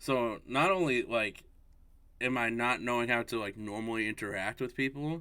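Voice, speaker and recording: Loud and bright with a sharp tone, a man with an American accent talks with ordinary pitch variation on a very clean recording against a silent background. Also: medium pitch for a man, moderate pace. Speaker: podcast co-host. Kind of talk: casual chat.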